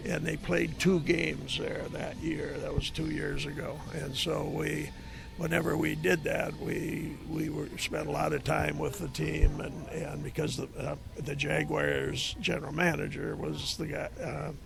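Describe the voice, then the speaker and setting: A man talks at a fairly slow pace with an Upper Midwest accent. The room echo is audible, and music plays in the background. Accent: Upper Midwest American. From Minnesota. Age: 70s. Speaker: retired football coach. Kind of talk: casual chat. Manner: halting.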